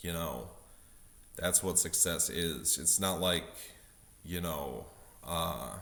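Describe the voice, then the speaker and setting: The tone is bright and sharp, with vocal fry and audible room echo. Delivery comes at a very slow pace with long, frequent pauses. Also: man, very deep, low pitch for a man, ordinary pitch variation. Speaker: vlogger. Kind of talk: casual monologue vlog. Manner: many fillers, halting.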